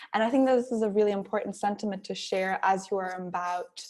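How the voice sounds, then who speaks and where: A woman with a German accent speaks at a fairly high pitch with ordinary pitch variation. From Germany. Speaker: workshop speaker, social enterprise founder. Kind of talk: workshop talk.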